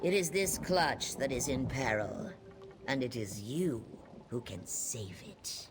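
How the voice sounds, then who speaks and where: Over clear background noise, a man does a put-on character voice at a medium pitch and a fairly slow pace. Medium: video game. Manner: measured, solemn.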